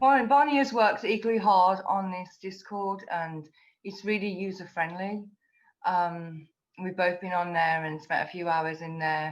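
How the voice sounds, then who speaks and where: Speaking with a British accent, a woman keeps a fairly slow pace. Her medium pitch shows ordinary variation. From England. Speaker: community ambassador. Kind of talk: casual chat.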